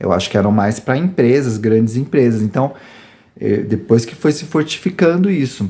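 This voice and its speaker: Moderate-paced speech from a man, medium in pitch, with a dark, mellow tone. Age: 40s. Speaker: YouTuber. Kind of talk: personal testimony. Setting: rural farm home.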